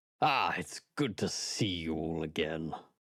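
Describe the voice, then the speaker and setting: A man does a put-on character voice, raspy and very deep. He speaks at a fairly slow pace in a very clean recording with a silent background. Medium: actual play. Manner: earnest, affable.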